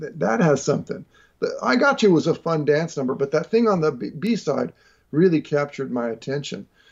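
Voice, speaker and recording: A man speaks in a plain, everyday voice. His intonation is lively and his pace moderate. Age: 40s. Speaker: jazz guitarist and educator. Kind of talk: casual interview chat.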